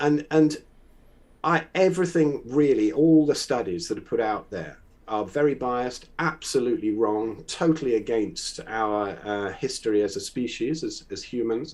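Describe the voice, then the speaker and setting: Lively intonation marks this man's speech. He has a fairly high pitch and a moderate pace. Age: 60s. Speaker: conspiracy-minded guest, drummer. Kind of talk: casual debate conversation. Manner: halting, many fillers and repeats.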